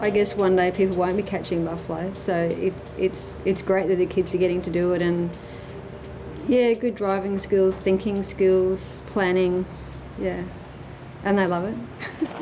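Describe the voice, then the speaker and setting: Music plays behind a woman who speaks with fairly even intonation and long, frequent pauses. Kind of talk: interview answer. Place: home room.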